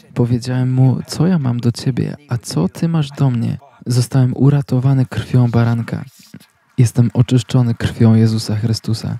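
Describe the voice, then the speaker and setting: Dark and mellow in tone, a man's medium-pitched voice moves at a moderate pace with fairly even intonation, sounding dry and close with no echo. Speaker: channel host and sermon translator. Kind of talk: voice-over reading of a translated sermon. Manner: halting, filler-heavy in own intro.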